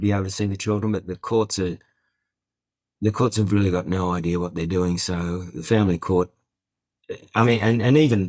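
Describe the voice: A man's low, slightly mellow voice at a moderate pace, with fairly even intonation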